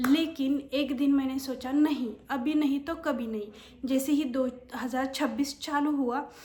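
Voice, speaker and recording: With a Marathi accent, a woman speaks in a high pitch using monotone, flat intonation. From Maharashtra, India. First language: Marathi (speaking Hindi). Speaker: YouTuber and office worker. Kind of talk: casual vlog talk. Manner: hesitant, many fillers.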